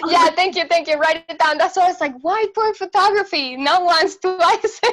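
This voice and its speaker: Someone speaks with a Venezuelan accent over noticeable background noise. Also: woman, extremely high pitch for a woman, ordinary pitch variation, moderate pace. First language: Spanish. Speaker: photographer. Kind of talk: interview conversation. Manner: energetic; hesitant, many fillers.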